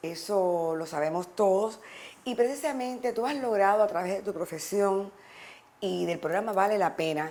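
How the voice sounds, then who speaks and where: At a medium pitch, a woman talks at a moderate pace. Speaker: TV talk show host. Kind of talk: interview. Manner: warm, animated.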